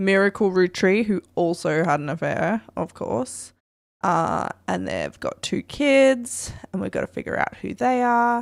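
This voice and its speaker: A woman with an Australian accent talks at medium pitch and a fairly slow pace, with lively intonation. The recording is very clean, with a silent background. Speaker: streamer. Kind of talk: live gameplay commentary. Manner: casual, thinking aloud.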